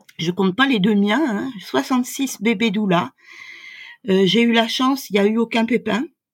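A woman speaks at a fairly slow pace in a fairly high, somewhat breathy voice with lively intonation. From France. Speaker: doula. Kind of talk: interview.

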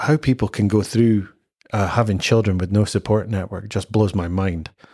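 A fairly low-pitched man speaks with ordinary pitch movement in a very clean recording where the background is silent. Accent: Scottish. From Scotland. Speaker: father sharing his experience. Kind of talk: podcast interview. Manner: animated.

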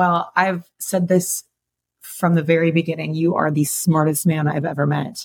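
This woman has an American accent and a somewhat breathy voice at a fairly low pitch. Her intonation is monotone and flat. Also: moderate pace, very even loudness. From Chicago. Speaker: fitness coach and podcast co-host. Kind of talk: casual interview.

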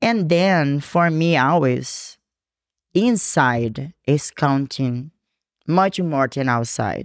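A woman with a Brazilian accent, very deep, low pitch, lively intonation and very even loudness at a very slow pace, on a very clean recording with a silent background and a dry, close sound with no echo. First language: Portuguese. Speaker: fitness coach and bikini competitor. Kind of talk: casual interview chat. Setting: in-person, same room as co-host. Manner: animated, laughs often; halting, repeats words in English.

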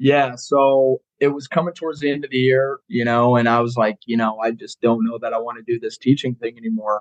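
With an American accent, a man uses an unremarkable speaking voice at medium pitch and fairly even intonation, the sound dry and close with no echo. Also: fairly quick pace. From Colorado. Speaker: college football strength coach. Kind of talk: casual chat.

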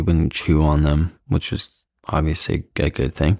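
His voice sits very deep and low. This man talks with an American accent. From US Midwest, Iowa. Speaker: dog walker and trainer. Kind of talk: casual chat. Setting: at home.

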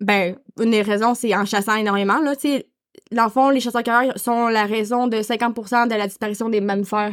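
Speaking at a moderate pace with a Quebec accent, a woman keeps a fairly even intonation at a fairly high pitch. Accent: Québécois French. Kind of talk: casual chat. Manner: halting.

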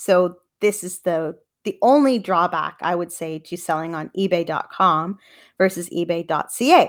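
In an unremarkable speaking voice with a Canadian accent, a woman with a fairly low pitch and ordinary pitch variation speaks at a moderate pace on a very clean recording with a silent background. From Canada. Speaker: podcast host and reseller. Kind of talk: solo podcast monologue. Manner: casual, informal.

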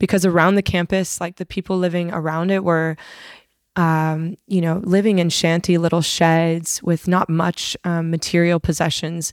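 A woman with an American accent and a fairly low pitch speaks at a moderate pace in a monotone, flat intonation, heard on a very clean recording with a silent background and a dry, close sound with no echo. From Arizona, US. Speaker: breathwork facilitator and yoga teacher. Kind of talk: casual interview chat; guided reflection.

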